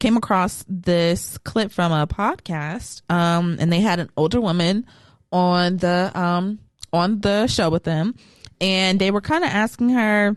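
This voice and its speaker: At a fairly slow pace, a woman with an American accent talks in a normal speaking voice at medium pitch with ordinary pitch variation. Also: very even loudness. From California. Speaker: podcast co-host. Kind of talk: casual chat.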